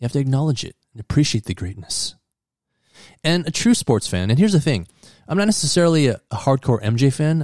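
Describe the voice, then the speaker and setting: Somewhat breathy and fairly high-pitched, a man's voice comes through dry and close with no echo on a very clean recording with a silent background. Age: 50s. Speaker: sports podcast host. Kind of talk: solo monologue.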